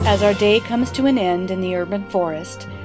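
Speech at a moderate pace plays over music in the background. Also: woman. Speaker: realtor. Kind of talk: mockumentary nature-documentary narration.

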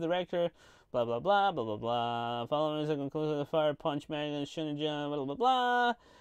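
The speech moves at a fairly quick pace with a clear, smooth tone and ordinary pitch variation. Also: man.

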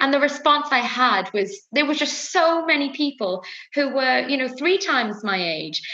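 A woman speaks in a raised, projected voice at a moderate pace, with very wide pitch swings. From Wales. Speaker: fashion brand founder. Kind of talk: interview. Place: home room. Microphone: webcam.

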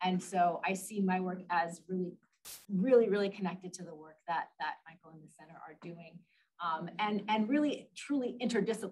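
Delivered at a fairly quick pace, the speech has a somewhat breathy quality. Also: woman. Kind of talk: welcome speech. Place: meeting room. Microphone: podium.

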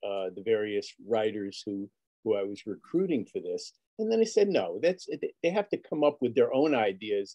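A dark, mellow tone with very wide pitch swings at a moderate pace, over a quiet background. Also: man. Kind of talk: panel discussion. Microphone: video call.

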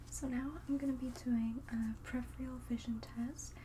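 A soft-spoken woman talks at a fairly slow pace with a gentle tone. Light background noise can be heard. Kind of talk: roleplay exam instructions. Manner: soft, gentle ASMR speaking voice. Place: home room.

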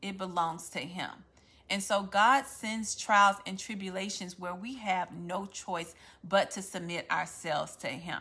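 Speaking fairly slowly in a Louisiana accent, a woman has a bright, sharp tone, ordinary pitch variation and big swings in loudness. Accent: Southern US (Louisiana). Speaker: faith-based content creator. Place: home room. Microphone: phone near.

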